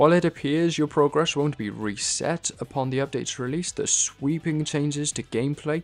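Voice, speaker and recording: Music runs in the background. A man talks at a fairly quick pace in a fairly high pitch. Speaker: gaming commentator. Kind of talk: game playthrough narration.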